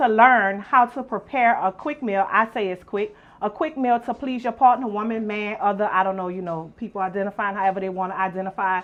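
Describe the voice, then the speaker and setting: A woman's fairly high voice, animated in tone, at a fairly quick pace, with big swings in loudness and ordinary pitch variation. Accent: New Orleans. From New Orleans. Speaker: youtube show host. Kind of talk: casual cooking chat.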